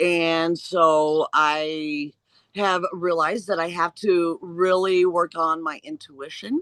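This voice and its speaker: Dry and close with no echo, this recording has a woman with a US Midwestern accent. She speaks at a very slow pace in a fairly low pitch. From Indiana, US Midwest. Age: 60s. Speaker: interviewee sharing pre-life memories. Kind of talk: personal testimony in interview.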